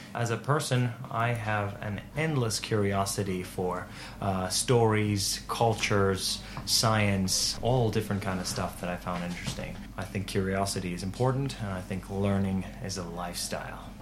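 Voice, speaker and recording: Audible room echo and noticeable background noise are present. A man with a fairly low pitch speaks with fairly even intonation. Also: moderate pace. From Turku, Finland. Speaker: podcaster. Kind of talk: interview. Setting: improvised studio at a festival.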